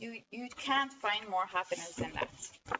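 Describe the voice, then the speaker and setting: A woman with a fairly high pitch and lively intonation talks at a moderate pace against noticeable background noise. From northern Norway. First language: Norwegian. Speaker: amateur artist, blogger. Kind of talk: casual video diary showing drawings. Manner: halting, frequent self-corrections.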